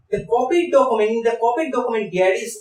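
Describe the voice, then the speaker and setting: This voice belongs to a man. He speaks with a Bengali accent. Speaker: biology teacher. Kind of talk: tutorial.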